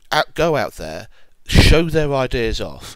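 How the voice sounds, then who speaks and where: With a British accent, a man speaks at a medium pitch with vocal fry. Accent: British accent, noticeable. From UK. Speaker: online commentator. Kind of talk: opinion monologue. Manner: measured, deliberate.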